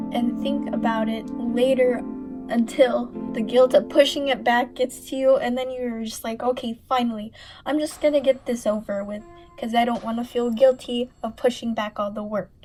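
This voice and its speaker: A high-pitched woman's voice with flat, monotone intonation, a moderate pace, big swings in loudness, and music in the background. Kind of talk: casual rambling voiceover over gameplay.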